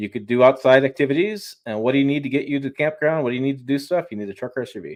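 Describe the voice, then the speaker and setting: A man with an American accent talks very fast in a fairly high pitch, hardly pausing, his loudness swinging widely. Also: ordinary pitch variation. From Michigan, Detroit. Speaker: automotive YouTuber and journalist. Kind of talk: casual interview on live stream. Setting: home studio, live stream video call. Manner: mumbling.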